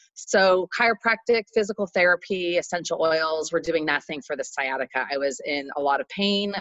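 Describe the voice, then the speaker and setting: A woman has a plain, everyday voice with a fairly low pitch. She speaks at a moderate pace with lively intonation and hardly any pauses. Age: 40s. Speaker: entrepreneur. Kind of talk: podcast interview.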